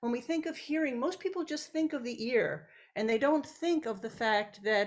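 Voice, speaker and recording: Her pitch sits high, and her intonation is lively. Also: moderate pace. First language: Italian. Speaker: professor. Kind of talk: lecture. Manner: halting.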